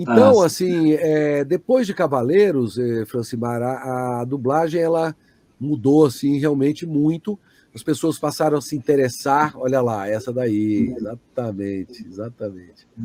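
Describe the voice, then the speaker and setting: With an unremarkable speaking voice, a man talks at a fairly slow pace and fairly high pitch, his intonation lively. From Brazil. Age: 60s. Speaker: voice actor. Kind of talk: interview answer. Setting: online live stream.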